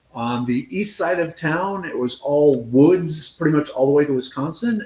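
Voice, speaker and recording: A man with an American accent, a normal speaking voice, fairly high pitch, ordinary pitch variation and a moderate pace. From central Minnesota. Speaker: scientist and foraging instructor. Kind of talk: interview. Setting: live video interview. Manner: casual, conversational.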